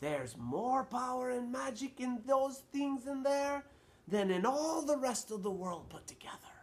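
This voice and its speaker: A man speaks at a moderate pace in a put-on character voice pitched extremely high. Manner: soft, hushed.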